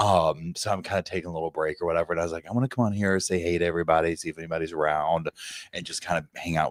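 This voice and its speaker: The sound is dry and close, with no echo. The voice is quiet. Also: man. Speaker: true crime YouTuber. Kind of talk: casual live stream chat. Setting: at a family member's house. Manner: quiet, hushed as if others might hear.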